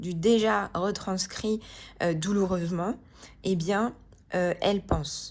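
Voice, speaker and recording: A woman at medium pitch, speaking at a very slow pace. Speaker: tarot card reader and wellbeing coach. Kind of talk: tarot reading guidance. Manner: calm, slow; hesitant with many fillers.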